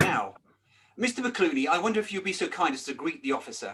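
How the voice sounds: Put on as a character voice, the speech moves at a fairly slow pace with big pitch swings, a bright, sharp tone and a slightly husky edge. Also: man.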